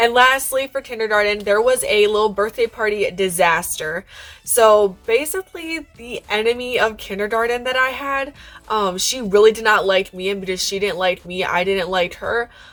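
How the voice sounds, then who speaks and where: A woman's fairly high voice is heard. Noticeable noise runs in the background. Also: ordinary pitch variation, moderate pace. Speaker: YouTuber. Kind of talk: storytime vlog.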